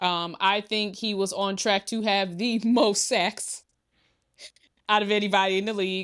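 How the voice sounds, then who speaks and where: This woman has a normal speaking voice at a medium pitch. She speaks at a fairly slow pace against a quiet background. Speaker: sports podcast co-host. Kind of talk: casual chat.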